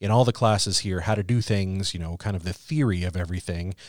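A man with an American accent at a very fast pace, ordinary pitch variation, and a dry, close sound with no echo on a very clean recording with a silent background. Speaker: internship coordinator and podcast co-host. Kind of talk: casual interview chat.

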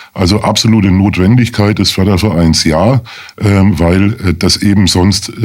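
A very deep, low pitch belongs to this male speaker. The rise and fall of his voice is fairly even. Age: 50s. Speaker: lawyer, charity association chairman. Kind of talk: radio interview.

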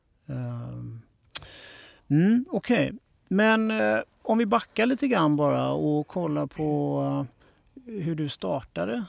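A man talks at a very slow pace in a dry, close sound with no echo. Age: 40s. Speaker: podcast host, graphic designer. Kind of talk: interview. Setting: studio.

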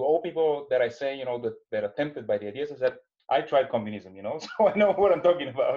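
With a Bulgarian accent, the speaker talks at a very fast pace with lively intonation. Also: man, fairly high pitch for a man. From Bulgaria, Sofia. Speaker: business executive. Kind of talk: interview. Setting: video call.

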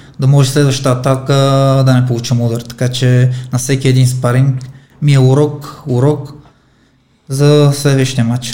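With audible room echo around him, a man with a medium pitch and a somewhat breathy voice speaks at a moderate pace in a monotone, flat intonation, his loudness very even and his pauses long and frequent. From Armenia. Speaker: professional boxer. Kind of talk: interview.

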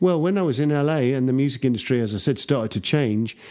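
A man with an English accent talks at a fairly quick pace in a dark, mellow tone with lively intonation, in a very clean recording with a silent background. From England. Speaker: record producer and mixer. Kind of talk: interview.

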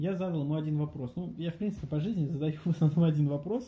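A man's fairly high, somewhat breathy voice with a dark, mellow tone and ordinary pitch variation. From Russia, Voronezh. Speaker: university lecturer and business coach. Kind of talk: interview.

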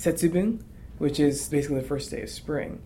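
The words come out fairly quickly. An echo from the room can be heard. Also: man. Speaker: university student. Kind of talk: interview.

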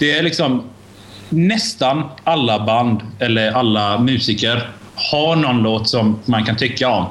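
Delivered at a fairly slow pace, the speech has very even loudness and ordinary pitch variation, with audible room echo. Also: man, medium pitch for a man. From Iran. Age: 20s. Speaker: podcast guest. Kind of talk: casual chat. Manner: halting.

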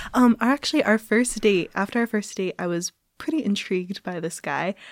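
Speaking with a Midwestern American accent, a woman keeps a moderate pace and ordinary pitch variation on a very clean recording with a silent background. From US Midwest, Cincinnati, Ohio. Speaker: Fulbright student. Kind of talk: casual interview chat.

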